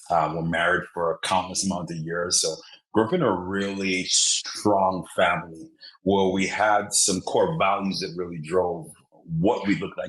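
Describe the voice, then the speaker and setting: Very deep and low, a man's voice with an Antiguan accent moves at a moderate pace with fairly even intonation. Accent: Antiguan Caribbean. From Antigua and Barbuda. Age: 30s. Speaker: motivational speaker. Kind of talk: podcast interview.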